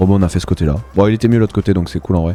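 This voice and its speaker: The tone is animated. Noticeable background noise sits behind it. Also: man. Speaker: gaming YouTuber. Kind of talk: gameplay commentary.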